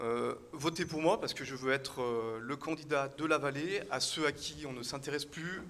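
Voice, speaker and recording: With a bright, sharp tone, a man talks at a moderate pace in a fairly high pitch with ordinary pitch variation. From Savoie, France. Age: 40s. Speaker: political candidate, local councillor. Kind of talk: political debate. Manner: halting, many hesitations.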